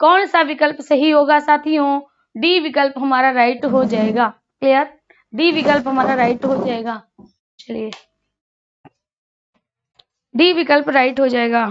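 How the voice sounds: High pitch from a woman, intonation fairly even. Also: fairly slow pace.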